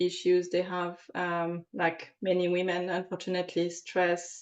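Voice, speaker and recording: In a French accent, a woman speaks very slowly at a fairly low pitch with monotone, flat intonation. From France. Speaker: aromatherapist. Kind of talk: interview. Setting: podcast recording. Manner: halting, many fillers.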